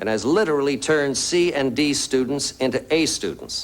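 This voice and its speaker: A man with a fairly high-pitched voice. He has an unremarkable speaking voice. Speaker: actor. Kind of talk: TV infomercial presentation. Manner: earnest, personal.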